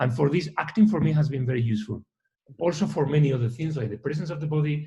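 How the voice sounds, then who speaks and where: A man's somewhat breathy, fairly high-pitched voice with a dark, mellow tone, ordinary pitch variation and a very fast pace. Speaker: orchestra conductor. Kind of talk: interview. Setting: video call.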